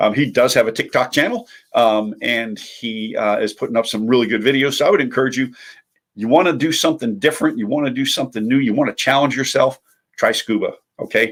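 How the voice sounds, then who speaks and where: A man at a medium pitch speaks at a very fast pace. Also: ordinary pitch variation. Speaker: motivational vlogger. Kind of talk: casual monologue. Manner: animated.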